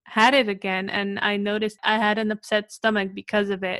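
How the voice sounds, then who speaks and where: At a moderate pace and fairly high in pitch, a woman with an unremarkable speaking voice. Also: dry, close sound with no echo. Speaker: podcast host. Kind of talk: casual interview chat.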